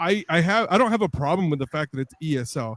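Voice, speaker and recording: A man speaks with a non-native accent. He goes at a fairly quick pace with lively intonation. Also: dry, close sound with no echo. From immigrated to US at age eleven. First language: not English. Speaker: podcast host. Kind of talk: interview. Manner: halting.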